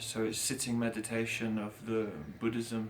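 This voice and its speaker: With an English accent, a man speaks at a medium pitch amid noticeable background noise. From England. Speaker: street musician. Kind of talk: interview answer. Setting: outdoors.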